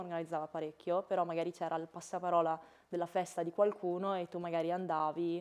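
At a fairly quick pace, a woman speaks in a fairly low voice. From Italy. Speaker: former exchange student; guest. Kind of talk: interview; interview answer. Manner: halting, many repetitions. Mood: relaxed, friendly. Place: studio. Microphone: lapel.

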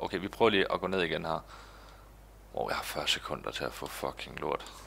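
The speaker is male. He talks at a moderate pace. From Denmark. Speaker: gaming YouTuber. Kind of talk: let's play commentary. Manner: animated. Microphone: headset.

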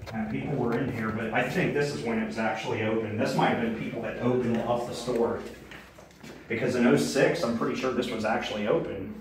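A man rushes along at a very fast pace, his voice carrying audible room echo amid noticeable background noise. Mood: excited, curious. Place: shop.

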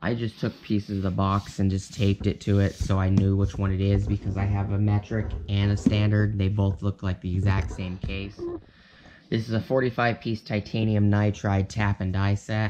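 A man speaks at a fairly low pitch with little pitch movement. His tone is slightly mellow. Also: moderate pace.

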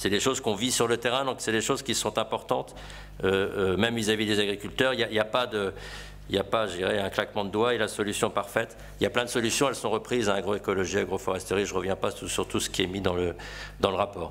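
A man with a fairly low voice talks at a very fast pace with fairly even intonation over light background noise. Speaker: farmer. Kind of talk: panel talk. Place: meeting room. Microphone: podium.

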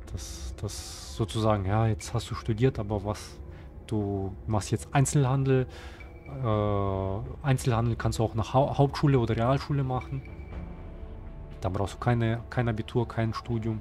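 Over music in the background, a man with a fairly low voice speaks at a fairly slow pace with lively intonation. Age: 30s. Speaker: gaming YouTuber. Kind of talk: casual monologue to viewers. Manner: halting, many fillers and repetitions.

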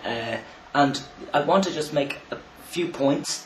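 Male speech at a fairly slow pace, light background noise and audible room echo around it. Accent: Irish. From Ireland. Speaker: vlogger. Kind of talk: video response monologue. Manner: halting. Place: home room. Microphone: webcam.

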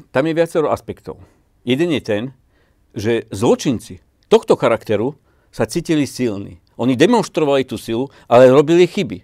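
A man speaks at a moderate pace with lively intonation and a dark, mellow tone against a quiet background. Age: 50s. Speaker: businessman; interview guest. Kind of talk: interview. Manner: halting, many fillers. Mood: earnest, determined. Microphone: lapel.

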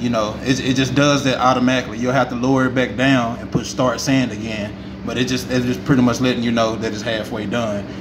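Noticeable noise runs in the background. Over it, a man speaks very fast. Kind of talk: tutorial. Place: factory. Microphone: phone near.

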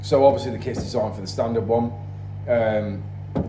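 Music plays in the background and audible room echo surrounds the speech. A man talks at a very fast pace with a fairly low pitch. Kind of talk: interview answer. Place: workshop. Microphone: phone near.

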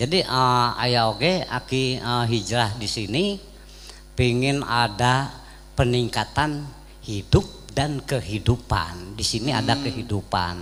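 With light background noise behind him, a man talks at a very slow pace with ordinary pitch variation. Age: 80s+. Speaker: veteran actor and community elder; guest. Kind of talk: religious talk show interview. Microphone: handheld.

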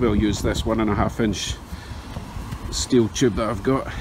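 A man talks at a moderate pace, and noticeable background noise is heard too. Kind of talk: tutorial. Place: street. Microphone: phone near.

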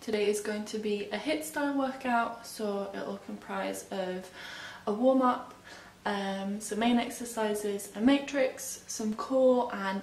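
Audible room echo surrounds a woman's voice. She speaks at a fairly slow pace with fairly even intonation. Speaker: fitness instructor. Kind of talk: workout instruction. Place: home room. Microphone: camera far.

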